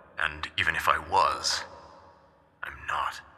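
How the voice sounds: The speaker uses a put-on character voice with a bright, sharp tone at a slow pace. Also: man, extremely low pitch for a man, ordinary pitch variation.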